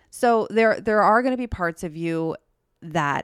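Lively intonation at a fairly slow pace, with a dry, close sound with no echo in a very clean recording with a silent background. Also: woman. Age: 30s. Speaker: astrology podcast co-host. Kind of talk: casual chat.

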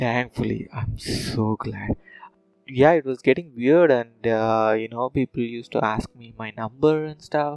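With a Telugu accent, a man speaks at a fairly slow pace with ordinary pitch variation and big swings in loudness, in a dry, close sound with no echo. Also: medium pitch for a man. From South India, Tamil Nadu (Madurai). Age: 30s. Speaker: podcast host. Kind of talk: casual monologue.

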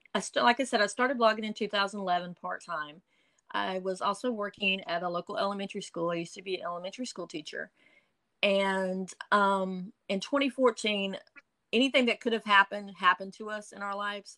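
A woman speaks at a fairly quick pace with a bright, sharp tone and medium pitch that shows ordinary variation. Her loudness swings widely, and the sound is dry and close with no echo. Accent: Eastern North Carolina. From Eastern North Carolina. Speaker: blogger. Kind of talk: casual interview.

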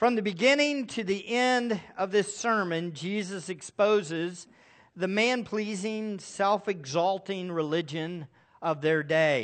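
A man speaks at a high pitch. His pace is very slow. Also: ordinary pitch variation. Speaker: pastor. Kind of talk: sermon. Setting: church.

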